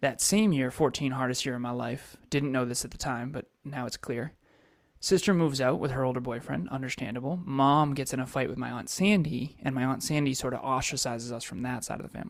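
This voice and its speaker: A man with an American accent and an ordinary speaking voice talks at a fairly quick pace, medium pitch and ordinary pitch variation in a very clean recording with a silent background. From Massachusetts. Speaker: entrepreneur and coach. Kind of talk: interview life story.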